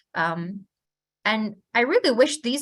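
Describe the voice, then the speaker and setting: The woman's voice is somewhat breathy. The background is quiet. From Uyghur region, China. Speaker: human rights advocate. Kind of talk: prepared webinar remarks.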